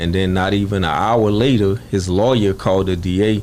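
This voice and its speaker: A man's very deep, low voice in a Louisiana accent, with fairly even intonation. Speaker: murder victim's brother. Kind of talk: interview.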